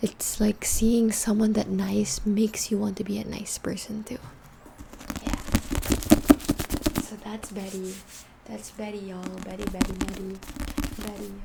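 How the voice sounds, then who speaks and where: A woman at a moderate pace, with long, frequent pauses over noticeable background noise. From Philippines. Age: 20s. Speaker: ASMR creator. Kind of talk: ASMR book ramble to camera.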